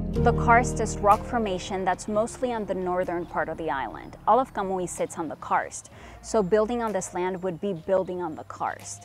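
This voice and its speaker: Music plays in the background as the speech moves at a moderate pace with hardly any pauses. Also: woman, medium pitch for a woman, ordinary pitch variation. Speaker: reporter. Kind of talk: scripted narration.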